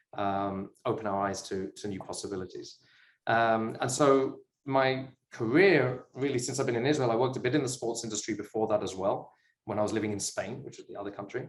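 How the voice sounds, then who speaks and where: Speaking at a fairly quick pace in a British accent, a man uses ordinary pitch variation while his loudness swings a lot. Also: medium pitch for a man. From UK. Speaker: sports business investor. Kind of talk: interview chat.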